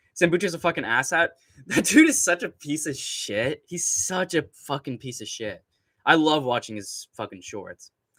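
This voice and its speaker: A man with an American accent speaks at a moderate pace and fairly high pitch, his tone bright, sharp and animated, with vocal fry. His pitch swings very widely and his loudness shifts a lot, in a dry, close sound with no echo. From Southern California. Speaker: MMA YouTuber and live streamer. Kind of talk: casual live-stream commentary. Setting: live stream.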